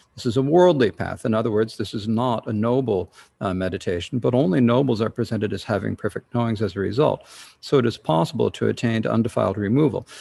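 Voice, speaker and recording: A man with a dark, mellow tone and vocal fry talks very fast at a medium pitch, with ordinary pitch variation. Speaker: Buddhist teacher. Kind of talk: lecture. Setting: online livestream. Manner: halting.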